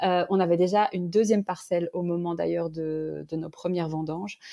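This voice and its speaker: Against a quiet background, a woman of medium pitch speaks in a dark, mellow tone, the sound dry and close with no echo. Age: 30s. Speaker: winemaker. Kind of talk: interview. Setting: podcast. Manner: halting.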